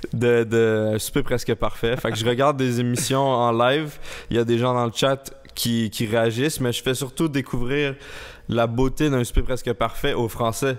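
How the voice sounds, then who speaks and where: Intonation stays fairly even as the words come out fairly slowly. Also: man. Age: 20s. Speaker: YouTuber. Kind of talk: casual chat.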